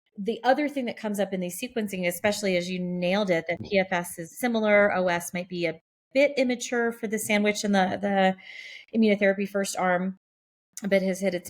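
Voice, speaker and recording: Speaking at a fairly quick pace, a woman uses an ordinary speaking voice at medium pitch with ordinary pitch variation. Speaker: oncologist, podcast co-host. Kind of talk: medical podcast discussion.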